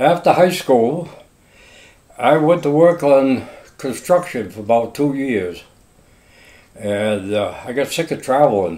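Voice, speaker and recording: A man with a Maine accent speaks at a fairly slow pace and medium pitch, his intonation lively and his pauses long and frequent. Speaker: longtime local resident. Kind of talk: oral history interview. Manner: casual.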